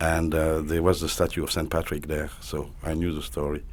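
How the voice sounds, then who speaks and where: In a French accent, a man talks at a fairly quick pace with a very deep, low pitch. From south of France (Golfe-Juan, near Italian border). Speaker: social advocate. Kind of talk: interview.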